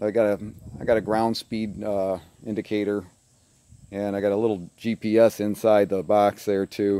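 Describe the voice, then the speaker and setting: The recording sounds dry, without any echo. The voice belongs to a man. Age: 60s. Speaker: hobby pilot. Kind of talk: casual show-and-tell. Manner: halting. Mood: proud, enthusiastic. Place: open country. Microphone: phone near.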